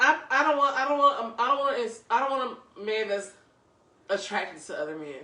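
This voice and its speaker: The speech moves at a fairly quick pace with very wide pitch swings and big swings in loudness. Noticeable background noise and audible room echo are present. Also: woman, high pitch for a woman. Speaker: podcast co-host. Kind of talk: casual chat.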